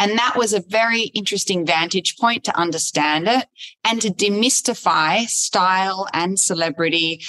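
With an Australian accent, a woman speaks at a moderate pace. Her voice is medium-pitched, with ordinary pitch variation. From Australia, Sydney. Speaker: fashion journalist and TV host. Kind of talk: interview conversation. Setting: recorded in front of a virtual audience.

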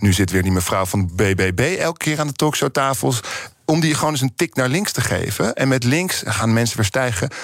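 At a moderate pace, a man with a medium pitch keeps his loudness very even while his pitch swings very widely. Noticeable background noise can be heard. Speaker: writer and opinion maker. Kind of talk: radio interview. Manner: heated, agitated.

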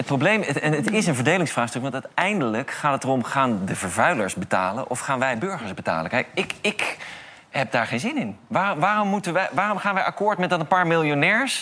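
A man at a fairly quick pace, very wide pitch swings, and noticeable background noise. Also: fairly high pitch for a man. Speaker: climate activist. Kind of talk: talk show interview. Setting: studio with audience.

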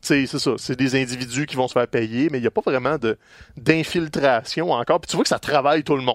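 A man with a Quebec accent at a fairly quick pace, medium pitch and ordinary pitch variation, with big swings in loudness, on a very clean, dry, close recording with no echo and a silent background. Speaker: wrestling podcast co-host. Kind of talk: casual chat.

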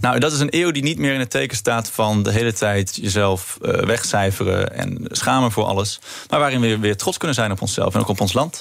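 A man's medium-pitched voice at a fairly quick pace, with lively intonation, very even loudness, hardly any pauses, and noticeable background noise. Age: 20s. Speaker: political candidate. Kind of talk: radio interview.

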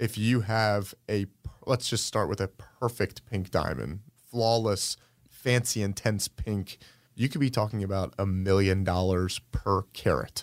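In a very clean recording with a silent background, a man with an American accent uses a normal speaking voice, fairly low in pitch with ordinary pitch variation, at a fairly slow pace. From Atlanta, US South (Sandy Springs). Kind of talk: interview.

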